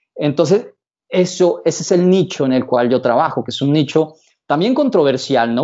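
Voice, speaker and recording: Over a quiet background, a man with a plain, everyday voice speaks at a moderate pace with ordinary pitch variation. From Colombia, Bogotá. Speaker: psychologist and seduction coach; seduction coach. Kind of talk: casual interview. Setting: his office. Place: office. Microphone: video call.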